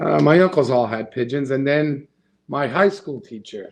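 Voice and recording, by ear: A man speaks at a moderate pace and medium pitch with lively intonation. His tone is slightly mellow, with vocal fry.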